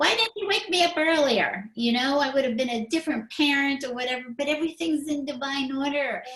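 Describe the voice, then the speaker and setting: A woman's high-pitched voice with lively intonation, a fairly quick pace and hardly any pauses, over noticeable background noise. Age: 60s. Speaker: spiritual talk show host. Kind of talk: casual chat.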